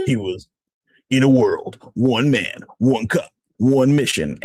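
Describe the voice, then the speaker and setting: A man puts on a character voice at a medium pitch. The tone is dramatic. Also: fairly slow pace. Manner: dramatic, announcer-like.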